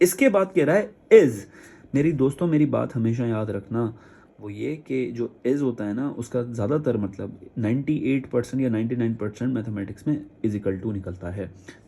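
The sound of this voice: A man's dark, mellow voice with a slightly husky edge, vocal fry, ordinary pitch variation and few pauses. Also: medium pitch for a man, moderate pace.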